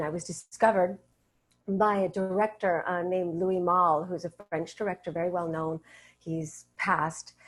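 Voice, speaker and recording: A woman talks in an ordinary speaking voice at a moderate pace. Her intonation is fairly even. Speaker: voice actor. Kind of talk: interview answer.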